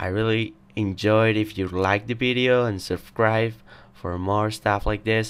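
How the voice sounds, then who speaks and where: In a very clean recording with a silent background, a man talks. He has a Spanish accent and ordinary pitch variation. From Spain. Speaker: tech YouTuber. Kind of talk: tutorial. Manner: casual.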